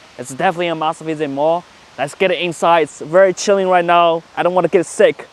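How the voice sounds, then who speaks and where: Talking at a fairly quick pace, a man uses a high pitch. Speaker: travel vlogger. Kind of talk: travel vlog narration.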